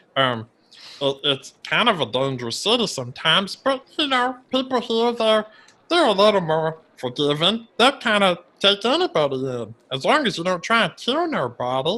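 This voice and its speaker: A put-on character voice sits at a middle pitch but swings very widely up and down. It moves along at a moderate pace. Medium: actual play. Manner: stammering, nervous, repeats words.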